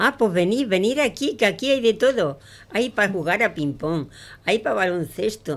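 A woman with an Andalusian accent, moderate pace and very wide pitch swings. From Andalusia, Pozoblanco (Córdoba). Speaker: amateur poet. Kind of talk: poetry reading; casual radio chat. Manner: halting. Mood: warm, recitative. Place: studio. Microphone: studio mic.

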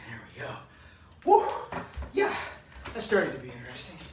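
A man is whispering. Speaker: fitness coach. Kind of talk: workout tutorial with counting. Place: home room. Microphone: camera far.

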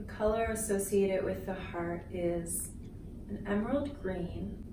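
Soft-spoken woman with a gentle tone at a very slow pace, noticeable background noise behind her. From Canada. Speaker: Reiki healer and spiritual coach. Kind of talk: guided Reiki chakra balancing meditation. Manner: soft-spoken, gentle. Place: home room.

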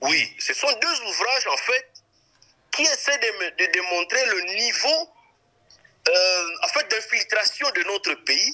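Against a quiet background, the voice is raised and projected, with lively intonation, a very slow pace and long, frequent pauses. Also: man, extremely high pitch for a man. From DR Congo. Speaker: lawyer and politician; lawyer, politician. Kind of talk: interview. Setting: remote interview. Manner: halting. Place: studio. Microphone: studio mic.

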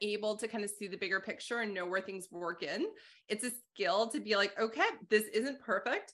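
This voice has a bright, sharp tone and a Canadian accent. It moves at a moderate pace with ordinary pitch variation. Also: woman. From Calgary, Alberta; Alberta. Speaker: accounting instructor and podcast host; accounting instructor, podcast host. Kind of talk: interview conversation. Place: home room. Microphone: video call.

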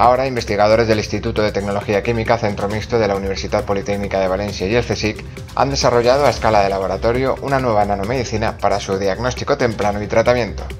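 Over music in the background, a man with a fairly low pitch talks very fast with hardly any pauses and ordinary pitch variation. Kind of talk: science news voice-over narration.

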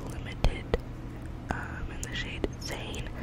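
Through loud background noise, a woman talks at a fairly slow pace. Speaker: ASMR creator. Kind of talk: ASMR whisper ramble. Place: home room. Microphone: studio mic.

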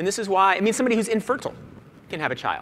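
Over light background noise, a man speaks with a bright, sharp tone. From US Northeast (Boston). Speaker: magazine editor, keynote speaker. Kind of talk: keynote speech. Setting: stage with audience. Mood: light, joking. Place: stage. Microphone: lapel.

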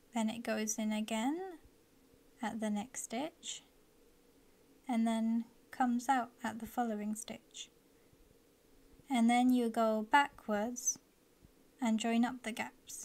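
Soft-spoken delivery at a very slow pace, with fairly even intonation and long, frequent pauses. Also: woman, fairly high pitch for a woman. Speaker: embroidery and DIY craft tutorial maker. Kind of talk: soft-spoken instructional ASMR tutorial.

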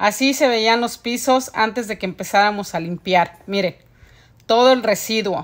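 A plain, everyday voice from a woman, fairly high in pitch, with ordinary pitch variation and a fairly slow pace. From Mexico City. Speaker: house cleaner and vlogger. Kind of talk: casual vlog narration.

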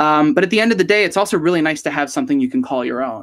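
A man is speaking. The background is quiet. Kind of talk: interview answer. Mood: warm, reflective. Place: home room. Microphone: earbuds.

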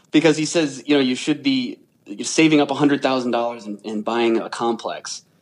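At a moderate pace, a man with an American accent talks in an ordinary speaking voice at medium pitch with fairly even intonation. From Rhode Island, US. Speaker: real estate investor. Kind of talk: interview.

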